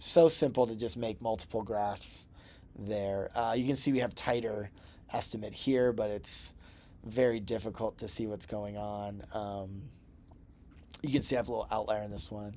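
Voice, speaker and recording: A man with an unremarkable speaking voice talks at a moderate pace, his intonation fairly even. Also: fairly low pitch for a man. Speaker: instructor. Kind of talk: tutorial. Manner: casual, with fillers.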